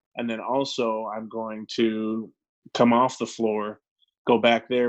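A medium-pitched man with an American accent, monotone and flat in intonation. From Arizona. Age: 20s. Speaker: former football player, tech product advisor. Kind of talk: casual chat.

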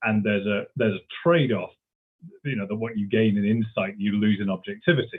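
A man with a British accent, a fairly low pitch and a very fast pace. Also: ordinary pitch variation. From Britain. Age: 40s. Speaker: history professor. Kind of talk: interview. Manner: halting, many fillers and repetitions.

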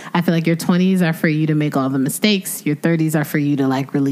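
Through noticeable background noise, a woman talks at a fairly quick pace in a very deep, low pitch. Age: 30s. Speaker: podcast co-host. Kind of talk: casual chat.

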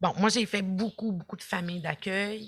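A woman is speaking. She has a Quebec accent. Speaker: social work professor and former youth in care. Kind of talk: podcast interview.

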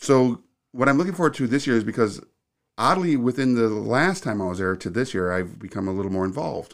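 The speech comes at a very fast pace with very wide pitch swings. The recording is very clean, with a silent background. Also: man, medium pitch for a man. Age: 50s. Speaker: video production studio owner. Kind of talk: casual interview.

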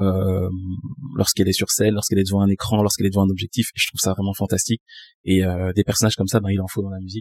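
A man speaks at a very fast pace in a fairly low pitch, with flat, monotone intonation. The sound is dry and close, with no echo. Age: 20s. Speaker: music artist manager. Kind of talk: casual chat. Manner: articulate, polished speech.

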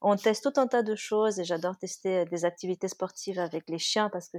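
A plain, everyday voice with fairly even intonation at a moderate pace, in a very clean recording with a silent background. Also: woman. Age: 30s. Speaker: dog-owning mother, guest. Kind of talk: casual chat.

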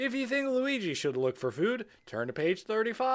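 The speaker reads aloud in a natural voice.

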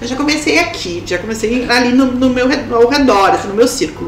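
Lively intonation marks a woman speaking at a fairly slow pace. Noticeable background noise and audible room echo are present. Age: 40s. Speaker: personal branding consultant. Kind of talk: casual chat.

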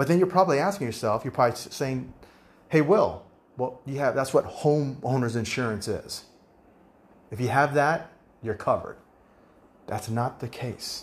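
A man with an American accent speaks at a moderate pace in a medium pitch, somewhat breathy, with ordinary pitch variation and long, frequent pauses. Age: 50s. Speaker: podcast host, real estate agent. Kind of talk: solo podcast monologue.

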